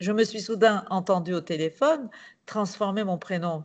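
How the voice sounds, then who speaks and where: Speaking at a moderate pace over a quiet background, a woman with a Turkish accent uses a medium pitch. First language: Turkish (speaking French). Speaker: novelist and playwright. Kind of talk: reading aloud.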